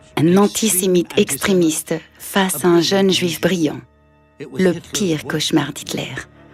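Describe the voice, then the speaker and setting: Over music in the background, a woman talks at a fairly slow pace in a fairly low voice. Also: fairly even intonation. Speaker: voice actor. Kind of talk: documentary narration.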